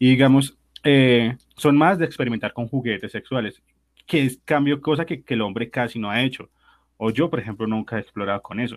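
A man with an ordinary speaking voice talks at a moderate pace. His pitch is medium, with ordinary pitch variation. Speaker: podcast co-host guesting on another show. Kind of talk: casual chat.

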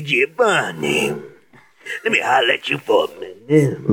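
A man puts on a character voice in an Italian accent, speaking at a moderate pace.

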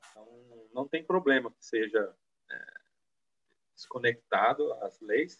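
A man speaks at a very slow pace, with long, frequent pauses and big swings in loudness. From Brazil, São Paulo state (Penápolis). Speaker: anthropologist, former culture official. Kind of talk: live-streamed panel discussion.

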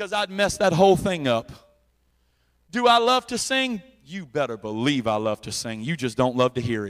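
At a moderate pace, a man with a fairly high pitch makes very wide pitch swings. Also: big swings in loudness. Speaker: preacher. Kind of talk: sermon. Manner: loud; animated.

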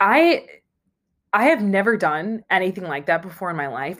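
A woman with an American accent talks at a moderate pace. The recording is very clean, with a silent background. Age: 20s. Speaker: podcaster. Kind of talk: solo monologue. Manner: casual, rambling with filler words.

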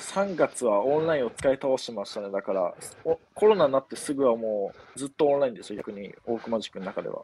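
In a plain, everyday voice, a man talks at a fairly quick pace and medium pitch with lively intonation. His loudness swings widely, and the sound is dry and close with no echo. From Japan, Yamanashi. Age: 20s. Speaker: university student. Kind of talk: casual chat. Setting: outdoors.

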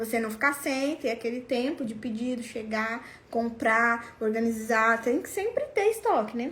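With hardly any pauses, a woman with a fairly high pitch speaks at a moderate pace in an animated tone. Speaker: sales coach for lingerie sellers. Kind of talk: online class. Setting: live stream.

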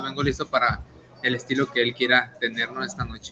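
With fairly even intonation, a man gets his words out very fast. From Tijuana, Mexico. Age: 20s. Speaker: professional boxer. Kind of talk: interview.

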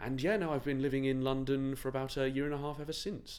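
Audible room echo hangs around a man's medium-pitched voice. He talks at a very fast pace. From Shropshire, England. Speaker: actor. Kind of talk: interview. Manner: halting.

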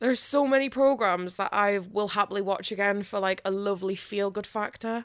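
At a fairly quick pace and with hardly any pauses, a woman talks at a medium pitch. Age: 30s. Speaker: podcast co-host. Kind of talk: casual chat. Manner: animated.

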